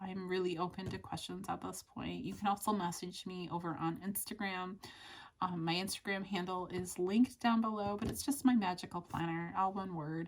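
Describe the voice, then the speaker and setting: A woman's somewhat breathy voice at a medium pitch and a fairly quick pace. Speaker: vlogger. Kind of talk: casual vlog update. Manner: conversational, some hesitations.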